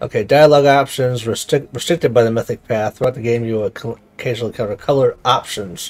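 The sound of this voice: The text is read in an unforced voice. Ordinary rises and falls mark the pitch.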